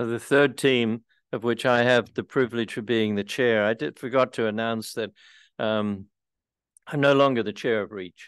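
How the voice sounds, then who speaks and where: A man with an Australian accent, medium in pitch, at a moderate pace with fairly even intonation against a quiet background. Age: 80s. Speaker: retired priest and housing advocate. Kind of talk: community presentation.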